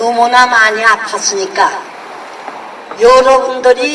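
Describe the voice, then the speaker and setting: A woman speaks in a high voice at a very slow pace. Background noise is noticeable. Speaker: war survivor speaking out against war and violence toward women. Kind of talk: heartfelt spoken message to the public.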